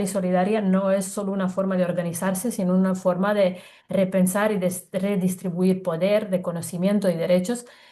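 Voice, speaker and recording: Somewhat breathy, with a dark, mellow tone and monotone, flat intonation. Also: woman. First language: not Spanish (another native language) (speaking Spanish). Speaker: co-host. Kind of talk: panel discussion. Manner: halting, frequent repetitions.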